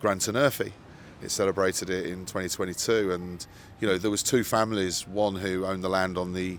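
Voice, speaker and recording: Speaking at a fairly quick pace, a man talks with an English Midlands accent. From English Midlands, Solihull. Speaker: radio broadcaster and news publisher. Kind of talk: casual interview chat. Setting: outdoors by the ocean.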